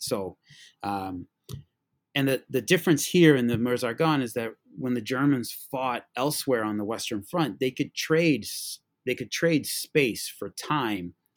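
A man with an American accent talks at a medium pitch and a fairly slow pace with lively intonation, in a very clean, silent recording whose sound is dry and close with no echo. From Massachusetts. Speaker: high school teacher and history podcaster. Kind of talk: history talk. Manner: halting, many fillers and repeats.

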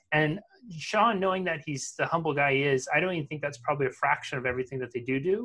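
A man rattles off his words very fast in a fairly high voice whose pitch varies in an ordinary way. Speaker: podcast host. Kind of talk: interview, casual conversational. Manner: warm, enthusiastic.

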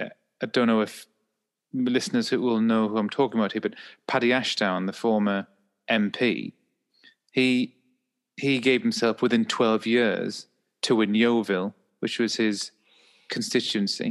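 With an English accent, a man speaks at a moderate pace in a monotone, flat voice with long, frequent pauses over a quiet background. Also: medium pitch for a man. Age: 30s. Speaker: podcast co-host and mental health professional. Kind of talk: casual chat.

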